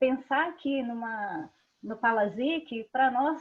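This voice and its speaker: This woman's voice sits high in pitch, with ordinary variation in its melody. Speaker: parent of a child with PKU, patient advocate. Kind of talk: online panel discussion.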